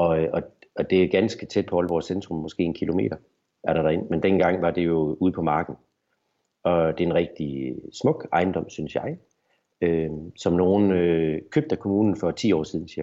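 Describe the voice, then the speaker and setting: Keeping his intonation fairly even, this man speaks at a moderate speed. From Denmark, Horsens (East Jutland). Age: 40s. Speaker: business owner. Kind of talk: interview. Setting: video call. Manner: halting.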